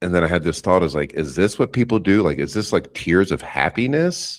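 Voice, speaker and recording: This man's voice has vocal fry. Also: very clean recording, silent background. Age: 50s. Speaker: psychedelic facilitator and instructor. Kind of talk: interview testimony.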